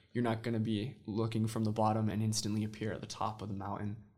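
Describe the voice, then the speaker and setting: A man at medium pitch with an American accent, talking at a fairly quick pace amid audible room echo. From Utah. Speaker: church missionary and Spanish teacher. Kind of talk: interview.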